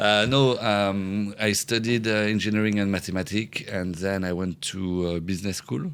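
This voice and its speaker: With a French accent, a man speaks at a moderate pace. His voice is fairly low, with ordinary pitch variation. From France. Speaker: entrepreneur. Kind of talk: podcast interview. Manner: halting, many fillers.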